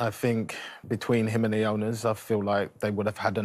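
A man speaks with a fairly low pitch, little pitch movement and a slightly mellow tone.

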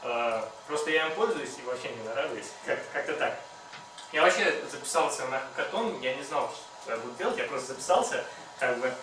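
Talking at a fairly quick pace with long, frequent pauses, the speaker has audible room echo and faint music in the background. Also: man. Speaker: hackathon participant; presenter. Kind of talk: project presentation. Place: meeting room. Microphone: camera far.

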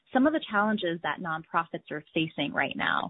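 A woman at medium pitch with an unremarkable speaking voice. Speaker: webinar host. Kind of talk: webinar hosting. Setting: online webinar.

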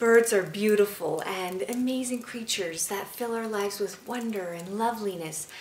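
A woman's voice carries audible room echo along with light background noise. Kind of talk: informal educational talk. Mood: warm, cheerful, friendly. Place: home room.

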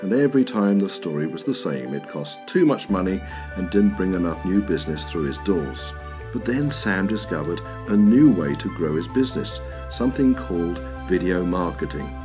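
With music in the background, a man with a very deep, low pitch speaks in very wide pitch swings. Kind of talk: explainer video narration.

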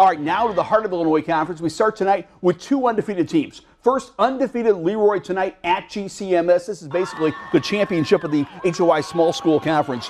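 A man talks at a high pitch in an animated, excited tone, with ordinary pitch variation. He moves at a fairly quick pace with hardly any pauses. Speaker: sports broadcaster. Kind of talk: live sports commentary over game highlights. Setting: TV studio sports show. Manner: animated, excited play-by-play delivery.

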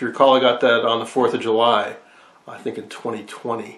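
A man speaks at a fairly quick pace, and audible room echo follows his words. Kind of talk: casual hobby vlog explanation. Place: workshop. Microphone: phone near.

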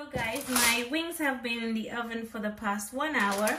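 The voice belongs to a woman with ordinary pitch variation. Noticeable background noise runs underneath. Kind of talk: cooking tutorial. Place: kitchen.

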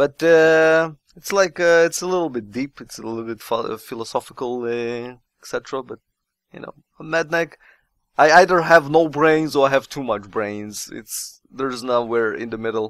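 A man's voice of medium pitch, with ordinary pitch variation, a moderate pace and a fairly bright tone.

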